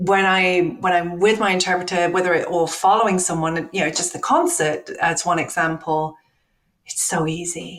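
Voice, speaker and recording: A woman with a plain, everyday voice speaks at a moderate pace, with fairly low pitch and fairly even intonation. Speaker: tech company accessibility executive. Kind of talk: interview conversation.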